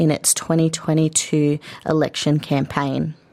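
This woman has an Australian accent and a fairly even intonation. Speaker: radio host. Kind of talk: news reading. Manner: formal.

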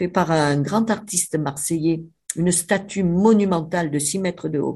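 Against a quiet background, a woman speaks at a fairly slow pace. Her voice is somewhat breathy, with lively intonation. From Avignon, Provence, France. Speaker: writer, biographer. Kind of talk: interview, storytelling. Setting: remote line to radio studio. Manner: animated.

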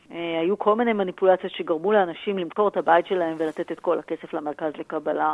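A woman's voice at medium pitch. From Israel, Tel Aviv. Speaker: business professor and author. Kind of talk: interview.

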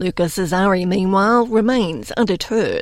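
This woman has a normal speaking voice at medium pitch, with ordinary pitch variation and a fairly slow pace. The recording is very clean, with a silent background. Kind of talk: news reading. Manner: formal, measured newsreader delivery; clear, steady, even pacing.

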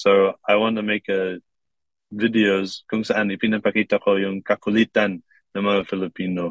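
In monotone, flat intonation, a man speaks with fairly low pitch. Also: moderate pace. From Kuwait. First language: English (speaking Tagalog). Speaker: TikTok creator. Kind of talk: interview.

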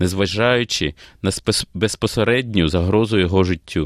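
A man with a fairly low pitch and ordinary pitch variation speaks at a fairly slow pace against a quiet background. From Ukraine, Kyiv. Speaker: opera singer. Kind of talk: interview. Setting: studio.

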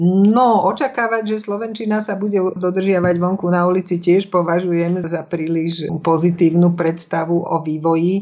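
A woman with a normal speaking voice, fairly low-pitched, with fairly even intonation, a moderate pace and hardly any pauses. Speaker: speech coach and former broadcaster. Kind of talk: interview.

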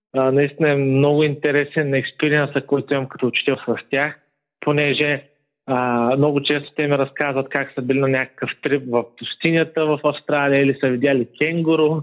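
The delivery is monotone and flat at a moderate pace. Loudness stays very even throughout. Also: man, fairly high pitch for a man. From Bulgaria, Burgas. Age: 20s. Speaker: history teacher. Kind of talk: interview.

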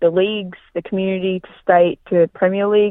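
At a fairly slow pace, a woman talks with an Australian accent. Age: 20s. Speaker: amateur athlete. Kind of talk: interview.

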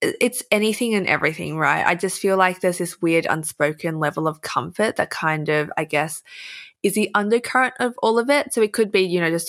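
A woman with an Australian accent speaks at a moderate pace with ordinary pitch variation, in a very clean recording with a silent background. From Australia, Melbourne. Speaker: influencer and writer. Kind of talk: casual chat. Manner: animated.

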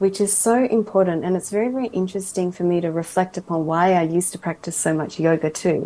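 This woman has a medium-pitched voice. Her tone is dark and mellow. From Australia, raised from age 4 by Japanese family. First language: English (speaking Japanese). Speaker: mental health entrepreneur. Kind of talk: radio interview. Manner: halting, many fillers in Japanese.

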